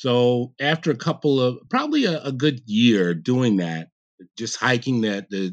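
A man with an American accent, medium pitch, fairly slow pace and lively intonation, an unremarkable speaking voice against a quiet background. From New York (Queens, then Catskills). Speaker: president of a skiing nonprofit. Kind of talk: interview.

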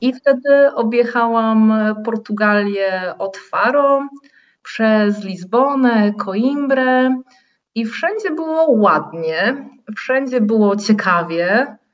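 A woman with a fairly high pitch speaks very slowly. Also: ordinary pitch variation. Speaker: tour guide and guesthouse host. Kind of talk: interview.

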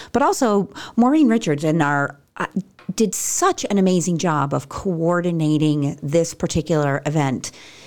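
A woman with an ordinary speaking voice talks at a moderate pace with lively intonation and a fairly low pitch. The recording is very clean, with a silent background. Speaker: operations director. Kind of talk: casual chat.

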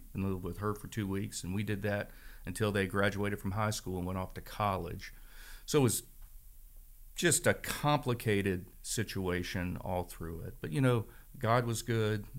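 Recorded very cleanly with a silent background, a man with an American accent and an unremarkable speaking voice speaks at a moderate pace, fairly low in pitch with ordinary pitch variation. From northern Virginia, Shenandoah Valley. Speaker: church member sharing his story. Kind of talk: testimony.

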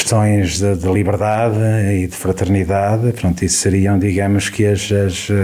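A man with a fairly low pitch and fairly even intonation speaks over noticeable background noise. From Portugal, Viseu district. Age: 50s. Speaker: local election candidate. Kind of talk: radio election debate. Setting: radio studio.

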